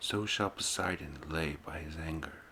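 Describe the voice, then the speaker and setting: A soft-spoken man with a bright, sharp tone. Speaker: ASMR channel host and reader. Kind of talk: ASMR poetry reading. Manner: soft-spoken, ASMR style.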